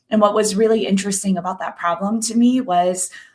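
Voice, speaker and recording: A woman with a medium-pitched, somewhat breathy voice speaks in fairly even intonation. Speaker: consultant, former engineer. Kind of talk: webinar presentation.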